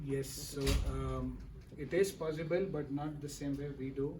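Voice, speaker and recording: Over noticeable background noise and audible room echo, a man speaks in a fairly high, monotone, flat voice. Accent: Kannada. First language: Kannada. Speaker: PhD candidate. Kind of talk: thesis defense Q&A.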